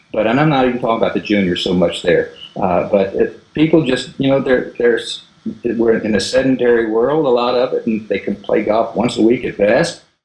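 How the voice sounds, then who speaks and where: Over noticeable background noise, a man talks with hardly any pauses. He has a medium pitch and ordinary pitch variation. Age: 60s. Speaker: golf instructor. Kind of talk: interview.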